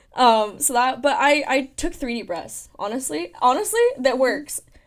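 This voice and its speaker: A woman with an American accent speaks in an animated tone at a high pitch. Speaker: university student leader. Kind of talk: interview. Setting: studio. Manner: fast.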